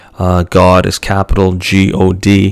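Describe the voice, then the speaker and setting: A man speaks with a very deep, low voice. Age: 20s. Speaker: film review podcast host. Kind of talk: unscripted solo monologue. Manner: hesitant, many fillers.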